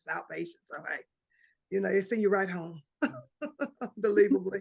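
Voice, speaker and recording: Her pitch sits in the medium range and varies in an ordinary way. The woman talks fairly quickly. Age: 60s. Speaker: basketball coach. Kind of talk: casual chat.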